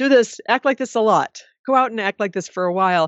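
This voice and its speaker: This woman has lively intonation, a moderate pace, and an ordinary speaking voice. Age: 50s. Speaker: advice columnist and author. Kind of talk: interview.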